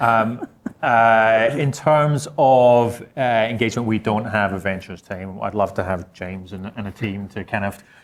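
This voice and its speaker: Someone with a Scottish accent speaks at a moderate pace with ordinary pitch variation, on a very clean recording with a silent background. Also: man. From Scotland. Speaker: insurance technology executive. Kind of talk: panel discussion.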